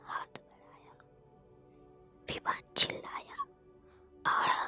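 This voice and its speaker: Whispering over music in the background. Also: woman. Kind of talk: ASMR story narration. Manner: soft, slow.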